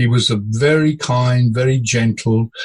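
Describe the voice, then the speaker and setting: A man talks in a somewhat breathy voice. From India and Africa. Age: 70s. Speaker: former ship captain and coach. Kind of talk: casual interview.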